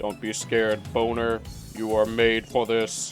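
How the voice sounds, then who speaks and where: With clear music playing behind him, a man uses a put-on character voice at a medium pitch and a fairly slow pace. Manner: eerie, reassuring.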